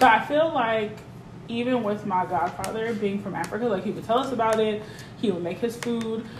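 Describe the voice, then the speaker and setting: A woman at a fairly high pitch and fairly quick pace, with ordinary pitch variation and noticeable background noise. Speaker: podcast guest. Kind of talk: casual chat.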